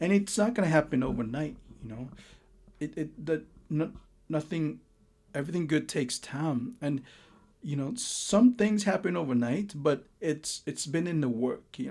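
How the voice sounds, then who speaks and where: A man with a Lao accent speaks at a moderate pace, his fairly high voice moving with lively intonation. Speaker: tarot reader. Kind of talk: tarot reading monologue. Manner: halting, many repeats and fillers.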